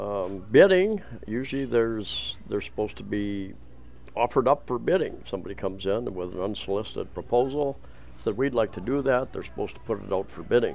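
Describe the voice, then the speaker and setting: The speech goes at a moderate pace over light background noise. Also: man. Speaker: travel vlogger. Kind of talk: casual walking vlog commentary. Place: market. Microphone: phone near.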